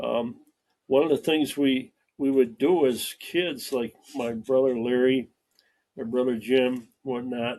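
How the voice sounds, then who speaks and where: Very slowly and with fairly even intonation, a man with a Western New York accent speaks at a medium pitch with a dark, mellow tone. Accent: Western New York American. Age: 80s+. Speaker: retired farm-raised local resident, army veteran. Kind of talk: casual interview. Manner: halting with frequent fillers.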